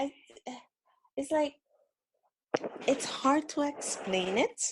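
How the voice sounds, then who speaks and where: In a strong Caribbean accent, a woman speaks at a moderate pace with very wide pitch swings. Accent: thick Caribbean. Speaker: caller. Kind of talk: casual chat. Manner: halting.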